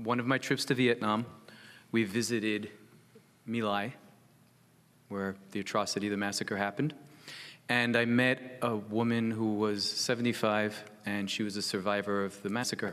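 The delivery is monotone and flat, with an American accent at a moderate pace. Long pauses come often. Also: man, fairly low pitch for a man. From United States. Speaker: psychotherapist working with veterans. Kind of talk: panel talk.

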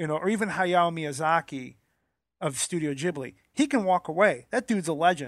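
With lively intonation and a high pitch, a man talks at a moderate pace. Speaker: podcast co-host. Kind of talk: casual chat. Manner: animated.

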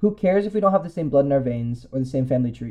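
Somewhat breathy, with a dark, mellow tone and lively intonation, the voice comes with a Californian accent. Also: man. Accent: General American (Californian). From US West Coast (San Francisco Bay Area). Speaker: commentary essayist. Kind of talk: personal essay read aloud.

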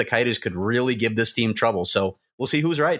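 Over a quiet background, a man with an American accent talks at a fairly quick pace. He has an unremarkable speaking voice and ordinary pitch variation. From Chicago, US Midwest. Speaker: hockey reporter. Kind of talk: casual podcast chat.

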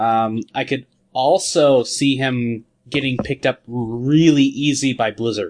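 A man with an unremarkable speaking voice, medium pitch, ordinary pitch variation and a fairly slow pace. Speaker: podcast host. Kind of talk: casual chat. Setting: video call.

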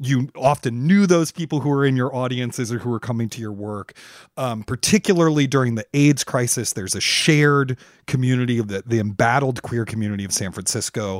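A man with an ordinary speaking voice at medium pitch, ordinary pitch variation, a dry, close sound with no echo, and a very clean recording over a silent background. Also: fairly quick pace. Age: 40s. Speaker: podcast host. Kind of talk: interview and casual chat.

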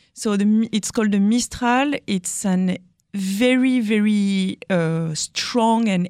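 Speaking very slowly in a French accent, a woman with a fairly high pitch is heard in dry, close sound with no echo on a very clean recording with a silent background. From France. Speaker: winemaker. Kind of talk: casual interview.

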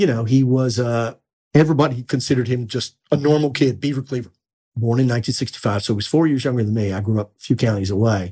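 Speaking very fast, a man with an American accent has a dark, mellow tone. His voice is somewhat breathy. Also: medium pitch for a man, ordinary pitch variation. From Texas, small town. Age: 60s. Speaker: author and journalist. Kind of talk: interview storytelling.

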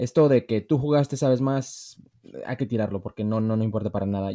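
Recorded very cleanly against a silent background, a man with a dark, mellow tone and lively intonation comes through with a dry, close sound and no echo. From US, Los Angeles, of Mexican heritage. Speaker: former footballer and football pundit. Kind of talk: casual debate.

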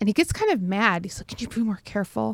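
With an American accent, a woman speaks in an ordinary speaking voice at a fairly quick pace. Her pitch is medium with ordinary variation, on a very clean recording with a silent background. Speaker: podcast host. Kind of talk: casual chat between co-hosts.

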